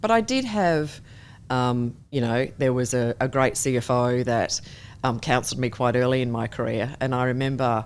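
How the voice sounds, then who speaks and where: With an Australian accent, a woman speaks at a moderate pace in a very deep, low pitch with ordinary pitch variation, on a very clean recording with a silent background. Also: very even loudness. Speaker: company chair and board director. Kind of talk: interview.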